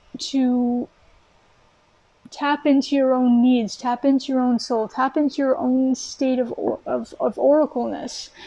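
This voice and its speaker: A woman speaks at a moderate pace in a high voice. Her intonation is monotone and flat. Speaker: tarot reader. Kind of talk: tarot reading monologue. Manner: earnest, encouraging.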